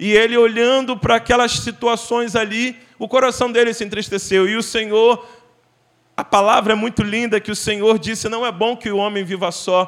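A man talks in a high pitch at a moderate pace. His intonation is monotone and flat. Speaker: guest preacher. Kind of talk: sermon. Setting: church. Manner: fervent, exhortative preaching, pleading directly with the congregation.

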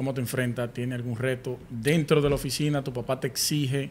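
A man's medium-pitched, plain, everyday voice at a fairly quick pace. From Dominican Republic, Sosúa, Puerto Plata. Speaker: podcast host, architect. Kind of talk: casual interview.

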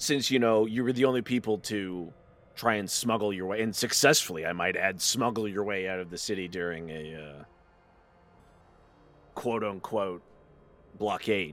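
In a raspy, put-on character voice, the speaker moves at a moderate pace with ordinary pitch variation and long, frequent pauses. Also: man, fairly low pitch for a man. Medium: actual play. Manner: dry, sarcastic.

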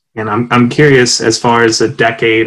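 A man with an American accent talks at a moderate pace and a medium pitch. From Pennsylvania (Lancaster County). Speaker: podcast host, AmeriCorps service member. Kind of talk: interview.

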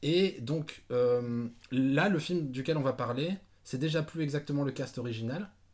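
A man with a normal speaking voice talks at a fairly slow pace. His pitch is fairly high, with ordinary pitch variation. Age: 30s. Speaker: podcast host. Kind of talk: casual chat.

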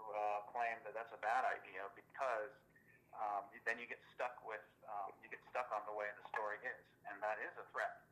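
With an American accent, a man talks at a moderate pace in an ordinary speaking voice, his medium pitch carrying fairly even intonation. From US West Coast, East Los Angeles. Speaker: author, army veteran. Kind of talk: interview.

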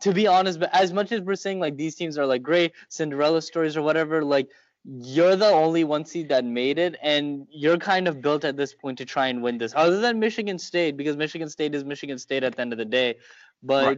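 A man with an ordinary speaking voice, fairly high in pitch, with ordinary pitch variation and a fairly quick pace. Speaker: sports podcast co-host. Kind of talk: casual chat. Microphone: phone mic.

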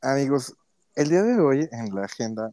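Very slow and dark in tone, a man's mellow voice comes through dry and close with no echo, in a very clean recording with a silent background. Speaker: podcast co-host. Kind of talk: casual chat. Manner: laughs a lot.

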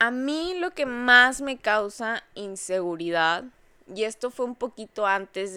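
A woman's bright, sharp voice with lively intonation at a very slow pace, on a very clean recording with a silent background. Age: 20s. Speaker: podcast host. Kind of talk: casual monologue. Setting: lying in bed at home at night. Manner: relaxed, intimate.

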